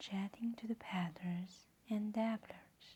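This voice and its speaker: Soft-spoken and calm in tone, the voice moves at a very slow pace. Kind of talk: soft-spoken ASMR storybook reading. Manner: soft-spoken, calm.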